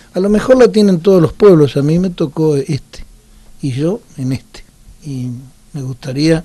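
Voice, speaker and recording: In an Argentine accent, a man talks at a moderate pace with a dark, mellow, somewhat breathy tone and lively intonation. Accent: Rioplatense Argentine Spanish. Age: 60s. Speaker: former politician. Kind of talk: interview.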